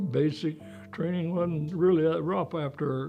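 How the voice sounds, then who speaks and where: A man speaks with an American accent and ordinary pitch variation. Music plays in the background. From Pennsylvania, Chambersburg. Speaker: war veteran. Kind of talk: interview.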